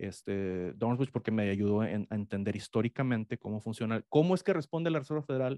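A man with a medium pitch, a dark, mellow tone, lively intonation and a fairly quick pace, dry with no echo over a quiet background. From Mexico. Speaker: economics professor; guest. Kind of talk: interview. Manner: halting. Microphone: studio mic.

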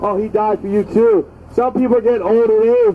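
Over light background noise, a man speaks at a high pitch with fairly even intonation. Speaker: street preacher. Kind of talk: open-air street sermon, fervent fire-and-brimstone evangelistic exhortation to passersby. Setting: outdoors on a city street near a bus stop. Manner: impassioned and repetitive, punctuating nearly every line with drawn-out 'Oh'; urgent, warning cadence hammering short imperatives. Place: street.

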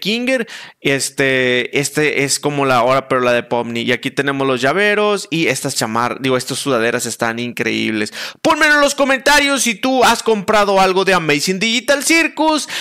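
The speech moves at a moderate pace with very even loudness over a quiet background. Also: man. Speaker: content creator. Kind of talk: casual commentary while browsing a website. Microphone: headset.

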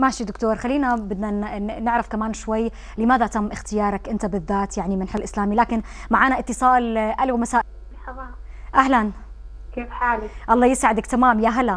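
A woman with an unremarkable speaking voice talks at a moderate pace, her fairly high pitch carrying fairly even intonation. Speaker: TV presenter. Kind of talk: interview; news reading.

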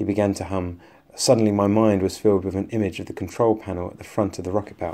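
An unforced reading voice

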